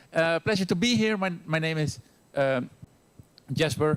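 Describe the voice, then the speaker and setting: Lively intonation runs through this speech delivered with a Dutch accent. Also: man. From Netherlands. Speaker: university teacher. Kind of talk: lecture. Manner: fast.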